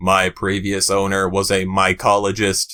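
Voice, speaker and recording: In a put-on character voice, a man delivers a deadpan, monotone, flat line at a moderate pace and a fairly low pitch, on a very clean recording with a silent background. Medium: read story. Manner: monotone, formal, deadpan.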